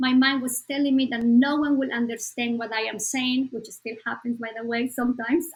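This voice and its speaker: A high-pitched woman's voice with a Spanish accent, flat and monotone, at a fairly quick pace with hardly any pauses. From Bolivia. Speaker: psychologist. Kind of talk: podcast interview.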